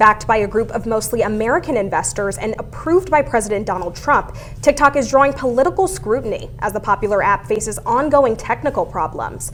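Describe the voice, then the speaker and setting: A woman speaks fairly quickly in a fairly high pitch with lively intonation. Music plays in the background. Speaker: news reporter and anchor. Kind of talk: TV news anchoring.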